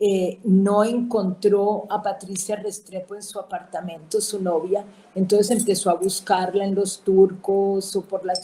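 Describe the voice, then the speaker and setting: A woman speaks at a medium pitch with a dark, mellow tone. Her pace is fairly slow and her intonation monotone and flat. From Colombia, Cali. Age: 70s. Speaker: writer's sister, guest. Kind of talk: casual interview conversation. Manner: hesitant, with fillers and repetitions.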